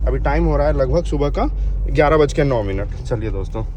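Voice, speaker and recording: Noticeable background noise fills the recording. The man talks at a moderate pace. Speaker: vlogger. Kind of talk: vlog narration. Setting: outdoors at police station.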